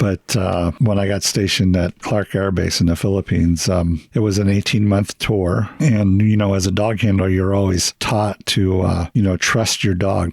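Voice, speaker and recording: A man's normal speaking voice with an American accent, fairly low-pitched, at a moderate pace, with fairly even intonation, very even loudness, and a dry, close sound with no echo. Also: hardly any pauses. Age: 60s. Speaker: military veteran. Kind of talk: casual interview storytelling.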